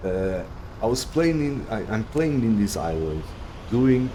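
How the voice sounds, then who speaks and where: Amid noticeable background noise and audible room echo, someone speaks with a Portuguese accent and lively intonation. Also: man. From Portugal. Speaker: video game streamer. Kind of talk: live gameplay stream commentary. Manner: halting, many fillers and restarts.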